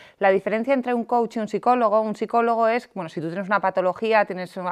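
Against a quiet background, a woman with a fairly high pitch speaks at a very fast pace with ordinary pitch variation, in a dry, close sound with no echo. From Basque Country, San Sebastián. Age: 30s. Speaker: life coach and entrepreneur. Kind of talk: podcast interview.

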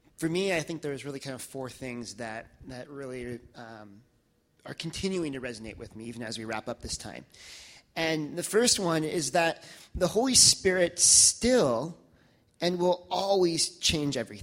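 A plain, everyday voice from a man, fairly high in pitch, with lively intonation at a moderate pace. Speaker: church member sharing testimony. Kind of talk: testimony. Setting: church with audience.

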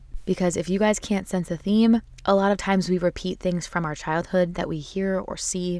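A woman talks at a moderate pace with ordinary pitch variation in a normal speaking voice. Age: 20s. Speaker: solo podcast host. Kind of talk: casual monologue.

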